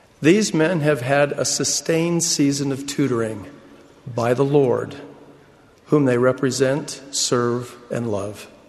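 Over noticeable background noise, a man talks at a very slow pace. His pitch is fairly high, with ordinary variation. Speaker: church leader. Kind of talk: sermon.

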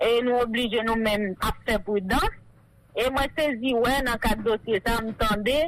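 A woman at a fairly slow pace, with fairly even intonation and very even loudness, over noticeable background noise. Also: fairly high pitch for a woman. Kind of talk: radio interview.

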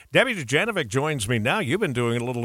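This is an ordinary speaking voice with lively intonation. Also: man. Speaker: radio news host. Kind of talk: morning news radio anchoring.

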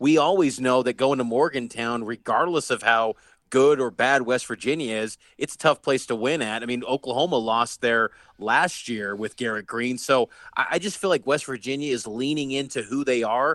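The sound is dry and close with no echo, against a quiet background. A man speaks in an unremarkable speaking voice at medium pitch, with ordinary pitch variation and a moderate pace. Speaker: radio sports host. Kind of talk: radio sports show banter.

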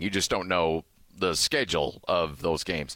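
The very clean recording, with a silent background, captures a man's bright, sharp tone. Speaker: radio host. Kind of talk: casual sports talk radio. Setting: radio studio.

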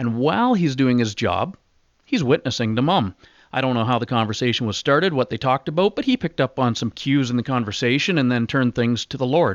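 Talking very fast, a man speaks with a Canadian accent at medium pitch. The sound is dry and close with no echo. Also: ordinary pitch variation, quiet background. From Ontario, Canada. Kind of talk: interview. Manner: casual, frequent filler words.

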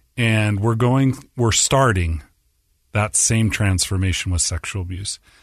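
A man's fairly low voice with an American accent, an ordinary speaking voice, ordinary pitch variation, a fairly slow pace and a quiet background. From Utah (Orem). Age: 40s. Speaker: nonprofit executive director. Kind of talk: interview conversation.

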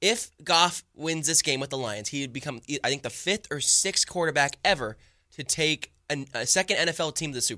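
This man talks at a fairly quick pace in a bright, sharp tone, on a very clean recording with a silent background. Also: ordinary pitch variation, dry, close sound with no echo. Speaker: sports journalist, 49ers insider. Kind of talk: sports radio chat. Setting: studio.

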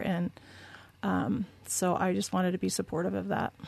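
A woman with an American accent talks at a moderate pace in a medium pitch. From Southern California. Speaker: military spouse. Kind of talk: interview.

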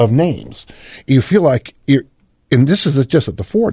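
A man's dark, mellow, somewhat breathy voice at a fairly quick pace, with very wide pitch swings. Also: dry, close sound with no echo. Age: 60s. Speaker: fitness coach and writer. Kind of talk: interview.

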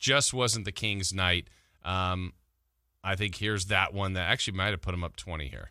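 A man's very deep, low voice with a bright, sharp tone, ordinary pitch variation and a moderate pace, on a very clean recording with a silent background. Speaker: sports radio host. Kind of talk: morning sports talk radio. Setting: radio studio. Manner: conversational, rambling with fillers and self-corrections.

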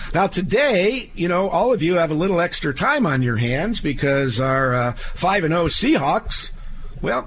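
Noticeable background noise sits behind a man whose pitch swings very widely. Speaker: estate planning attorney, radio host. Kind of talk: legal advice radio show. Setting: studio. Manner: folksy, conversational with fillers.

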